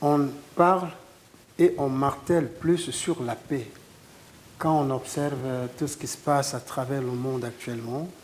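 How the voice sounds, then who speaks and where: Speaking at a fairly slow pace with long, frequent pauses, a man keeps a fairly high pitch and fairly even intonation. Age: 60s. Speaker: guitarist. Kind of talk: interview.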